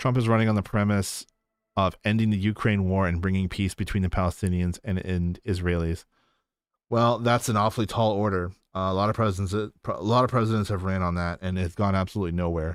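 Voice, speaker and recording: A man with a fairly low pitch talks at a very fast pace with fairly even intonation, in a very clean recording with a silent background. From Canada. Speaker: political livestreamer. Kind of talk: livestream reading and chat. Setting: livestream.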